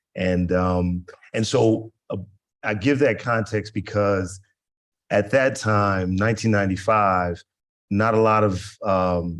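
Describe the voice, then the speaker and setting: Here a man speaks in an unremarkable speaking voice with a fairly low pitch. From US South, Georgia. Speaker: business development executive, panelist. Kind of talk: panel discussion.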